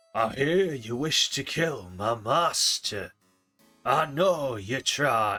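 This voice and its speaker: Put-on character voice from a man, raspy and medium-pitched, very slow, with music in the background. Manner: menacing, sharp.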